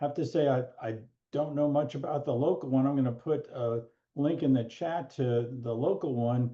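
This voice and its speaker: This is a normal speaking voice. The intonation stays fairly even at a moderate pace. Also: man, fairly high pitch for a man. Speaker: law professor emeritus and mediator. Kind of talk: webinar presentation.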